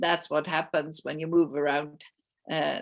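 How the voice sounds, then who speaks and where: A woman with a German accent speaks with vocal fry. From Germany (Munich). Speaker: physics professor. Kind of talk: lecture.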